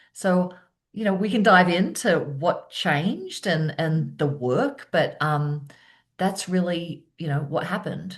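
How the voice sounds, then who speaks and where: At a fairly slow pace, a woman with an Australian accent speaks in a fairly low, somewhat breathy voice with ordinary pitch variation. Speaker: keynote speaker and presence coach. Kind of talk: interview conversation.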